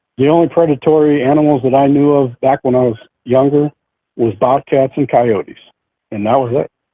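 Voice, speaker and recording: Using a normal speaking voice with an American accent, a man talks at a fairly quick pace with a fairly high pitch and fairly even intonation. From central New York. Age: 60s. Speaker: eyewitness sharing encounter. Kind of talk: interview testimony.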